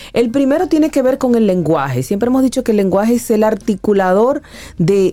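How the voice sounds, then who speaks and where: Against noticeable background noise, a woman with a fairly high pitch speaks at a moderate pace, her pitch swinging very widely. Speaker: psychologist. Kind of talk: radio talk segment.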